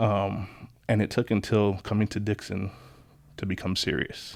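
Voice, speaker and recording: The speaker talks at a moderate pace in an American accent, with monotone, flat intonation. The recording is very clean, with a silent background. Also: man. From Long Island, New York. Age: 30s. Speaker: locksmith. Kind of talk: casual chat.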